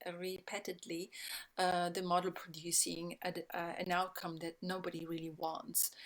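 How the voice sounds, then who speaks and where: A woman with an Italian accent at medium pitch, moderate pace and fairly even intonation, on a very clean recording with a silent background. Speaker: sustainability speaker. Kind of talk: talk. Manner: halting, many fillers.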